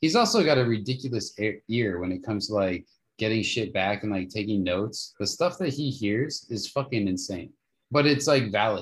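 A man talks at a medium pitch with lively intonation. His voice is somewhat breathy. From Las Vegas, Nevada. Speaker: keyboardist and podcaster. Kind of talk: casual chat. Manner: animated.

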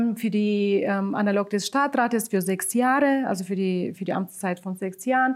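A woman's voice in a Bulgarian accent, at a fairly slow pace with ordinary pitch variation. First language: Bulgarian (speaking German). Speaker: local migrant council chair. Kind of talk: interview. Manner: hesitant, many filler sounds.

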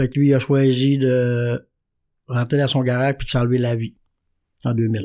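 A dark, mellow voice moves at a fairly slow pace with fairly even intonation on a very clean recording with a silent background. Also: man. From Quebec, Saguenay–Lac-Saint-Jean (Jonquière). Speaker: recovering alcoholic sharing his story. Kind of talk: testimony.

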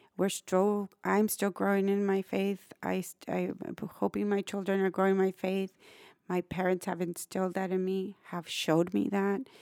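A woman with a South Texas accent speaks in a monotone, flat delivery at medium pitch and a moderate pace, her tone dark and mellow, the sound dry and close with no echo in a very clean recording with a silent background. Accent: South Texas Mexican-American English. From Brownsville, Texas (US-Mexico border). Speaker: nonprofit executive director. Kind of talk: interview.

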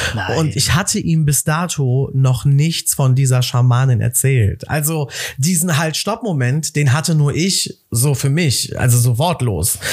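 A man with a fairly high, somewhat breathy voice speaks in an animated tone with ordinary pitch variation. His fairly slow delivery has hardly any pauses. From Cologne, Germany. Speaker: entrepreneur. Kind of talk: casual chat.

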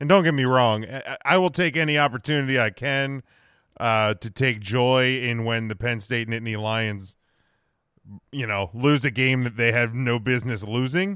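In a very clean recording with a silent background, a man speaks at a moderate pace and medium pitch, his tone bright and sharp, with ordinary pitch variation. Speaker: sports podcast host. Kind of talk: sports talk show discussion.

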